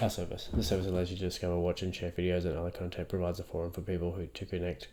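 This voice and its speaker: A man with a very deep, low voice and a dark, mellow tone talks at a very fast pace. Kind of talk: reading legal text aloud.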